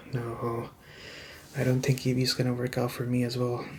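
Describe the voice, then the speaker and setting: The man's voice is somewhat breathy, pitched at a medium level and delivered with monotone, flat intonation. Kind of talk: ASMR roleplay, client role. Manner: hesitant, anxious, stammering.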